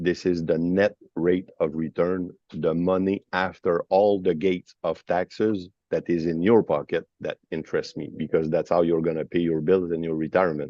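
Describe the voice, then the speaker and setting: A man with a very deep, low voice and a Quebec accent, monotone and flat, at a moderate pace. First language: French. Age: 50s. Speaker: financial advisor, company founder. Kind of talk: webinar discussion. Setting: at an airport.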